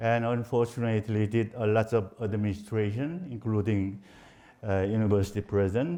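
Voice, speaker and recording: Speaking with a Korean accent, a man uses a fairly low pitch, a dark, mellow tone and ordinary pitch variation at a moderate pace, with a quiet background. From South Korea. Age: 70s. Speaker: professor. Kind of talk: lecture. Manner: halting.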